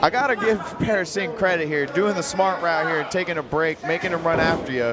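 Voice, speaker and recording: A man with an American accent talks at a fairly quick pace in a high pitch with ordinary pitch variation. Noticeable background noise and audible room echo surround his voice. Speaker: wrestling color commentator, wrestler. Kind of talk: live commentary. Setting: live wrestling event at training academy.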